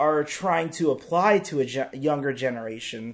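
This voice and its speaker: A man talks at a moderate pace, with ordinary pitch variation. He has a plain, everyday voice. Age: 20s. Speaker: podcast host. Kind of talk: casual chat.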